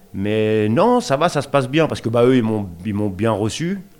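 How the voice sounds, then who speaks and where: A man with a fairly low pitch. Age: 40s. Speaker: resident on prison day release. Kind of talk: interview, personal testimony. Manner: casual, colloquial, hesitant.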